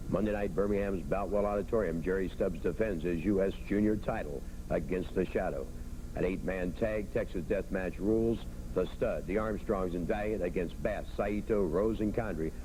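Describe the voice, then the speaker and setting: Vocal fry and a dark, mellow tone at a moderate pace, with ordinary pitch variation. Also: man, fairly low pitch for a man. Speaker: wrestling TV host. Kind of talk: wrestling TV broadcast hosting.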